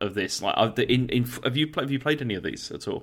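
This man has an unremarkable speaking voice at a medium pitch. His pitch varies in an ordinary way. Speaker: gaming podcaster. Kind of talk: casual chat.

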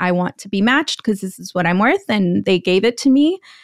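A woman speaks fairly quickly at medium pitch in an unremarkable speaking voice. The sound is dry and close, with no echo. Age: 30s. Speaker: media executive turned investing educator. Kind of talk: interview.

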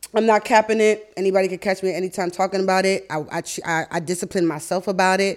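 With an American accent, a woman speaks at a very fast pace with hardly any pauses. Her pitch is medium and her intonation fairly even, in a very clean recording with a silent background. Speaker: podcast host. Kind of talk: casual interview chat.

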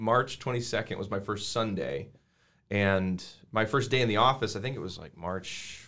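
Fairly low-pitched, bright and sharp-toned male voice on a very clean recording with a silent background. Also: ordinary pitch variation, moderate pace, big swings in loudness. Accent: American. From Colorado, US. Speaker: worship pastor. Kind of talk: casual interview, personal testimony.

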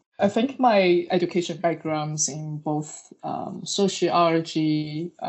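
The speaker, with a Chinese accent, uses ordinary pitch variation. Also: woman. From China. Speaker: researcher. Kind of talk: interview. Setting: remote recording. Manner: hesitant with fillers.

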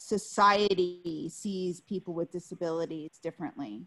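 Here is a woman with an unremarkable speaking voice. Her pitch is medium and her intonation lively. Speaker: radio host. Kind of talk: moderated roundtable discussion. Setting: radio studio.

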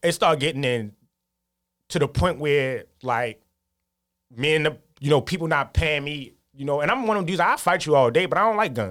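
A man speaks at a fairly quick pace and fairly high pitch with lively intonation. Long, frequent pauses break up his speech. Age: 30s. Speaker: photographer. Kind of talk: casual interview. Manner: halting, many fillers.

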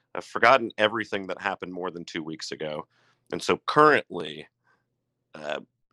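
This man has a very deep, low voice with a bright, sharp tone, recorded dry and close with no echo on a very clean recording with a silent background. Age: 30s. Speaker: brewer. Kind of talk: casual chat.

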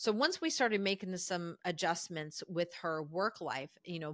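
A woman with a plain, everyday voice talks at a fairly quick pace with ordinary pitch variation. The recording is very clean, with a silent background and a dry, close sound free of echo. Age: 50s. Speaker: executive and lifestyle coach. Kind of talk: casual interview. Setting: call.

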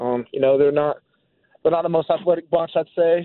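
A man with an American accent speaks very fast in a fairly high pitch, his intonation monotone and flat. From Florida, Jacksonville. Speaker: college quarterback. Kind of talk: interview.

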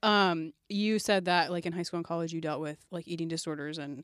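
A woman with a normal speaking voice talks at a moderate pace with ordinary pitch variation. The recording is very clean, with a silent background and a dry, close sound with no echo. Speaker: church podcast co-host. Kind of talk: casual chat. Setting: studio.

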